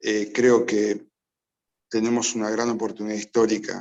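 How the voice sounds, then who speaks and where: Fairly low in pitch, a man speaks in a monotone, flat intonation. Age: 60s. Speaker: addiction specialist. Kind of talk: public talk.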